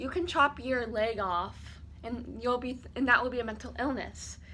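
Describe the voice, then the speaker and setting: A woman's bright, sharp, high-pitched voice with fairly even intonation, at a moderate pace, with audible room echo. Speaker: YouTuber. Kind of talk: storytime vlog. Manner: casual, filler-heavy.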